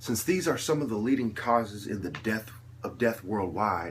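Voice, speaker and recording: Fairly slow delivery from a man, pitched in the medium range, the pitch moving in an ordinary way. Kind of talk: impassioned monologue.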